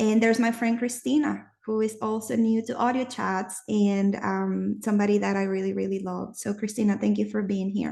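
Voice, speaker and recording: Against a quiet background, a woman with a non-native accent talks at a moderate pace with hardly any pauses. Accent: noticeable non-native. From Nicaragua. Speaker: audio chat host. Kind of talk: casual chat. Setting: live online audio room.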